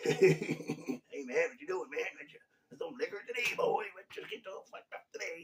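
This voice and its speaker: Using a put-on character voice, a man speaks at a moderate pace with big swings in loudness. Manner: boisterous, loud.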